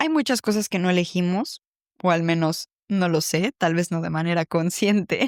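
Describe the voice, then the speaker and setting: Spoken at a moderate pace with a Mexican accent and ordinary pitch variation, the voice has a dry, close sound with no echo on a very clean recording with a silent background. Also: woman, fairly low pitch for a woman. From Mexico City. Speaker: podcast host, psychologist. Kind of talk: reflective personal podcast monologue.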